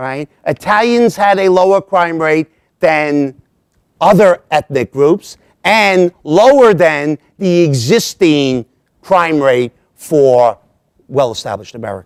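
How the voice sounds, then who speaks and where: Here a man talks at a very slow pace. His pitch sits fairly high. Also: lively intonation. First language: Italian. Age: 60s. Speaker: lecturer on Italian American history. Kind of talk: lecture. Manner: frequent 'all right?' fillers.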